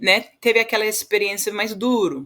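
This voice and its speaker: A woman with an English accent speaks with fairly even intonation on a very clean recording with a silent background. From Western Australia. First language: English (speaking Portuguese). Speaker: agricultural leadership organization founder. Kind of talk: podcast interview. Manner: halting, many repetitions and fillers.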